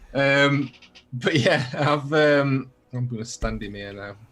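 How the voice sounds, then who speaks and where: This man has a medium pitch and speaks with a Yorkshire accent. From Yorkshire, northern England. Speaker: miniature painter and YouTuber. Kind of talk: casual chat.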